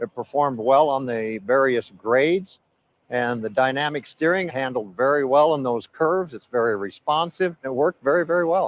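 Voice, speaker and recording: A man with a plain, everyday voice, medium pitch, ordinary pitch variation and a moderate pace, in a dry, close sound with no echo. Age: 60s. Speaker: truck driver. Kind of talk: casual chat.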